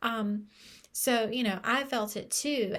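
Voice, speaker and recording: Recorded very cleanly against a silent background, a woman with a fairly high pitch and ordinary pitch variation has an unremarkable speaking voice. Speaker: book club leader. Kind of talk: casual pre-recorded talk to viewers. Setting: pre-recorded video.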